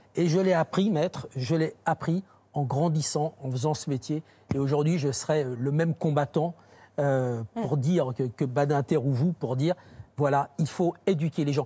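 A man's fairly high, somewhat breathy voice, dark and mellow in tone, at a fairly slow pace. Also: ordinary pitch variation. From France, Saône-et-Loire; France. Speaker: crime journalist. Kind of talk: TV panel discussion. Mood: earnest, reflective. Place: studio. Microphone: lapel.

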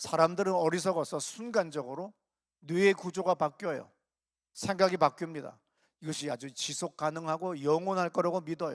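The speaker is a man with a high pitch. The sound is dry and close with no echo, over a quiet background. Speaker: pastor. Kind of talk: sermon. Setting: church.

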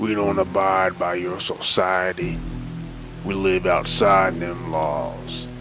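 A man's put-on character voice, very deep and low, delivered at a very slow pace over clear background music. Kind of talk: western-style voice acting of famous movie and game lines. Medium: voice reel. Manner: menacing, threatening.

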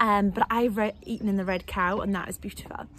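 Someone with a Welsh accent speaks fairly quickly in an upbeat, enthusiastic tone, with light background noise and a dry sound with no echo. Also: woman. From South Wales. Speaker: estate agent. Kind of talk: casual talk to camera. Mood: cheerful, relaxed. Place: home room. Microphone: phone near.

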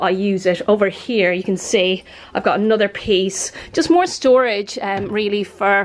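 A woman's voice with ordinary pitch variation. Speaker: home vlogger. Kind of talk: casual vlog chat. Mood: cheerful, relaxed. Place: home room. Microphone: phone near.

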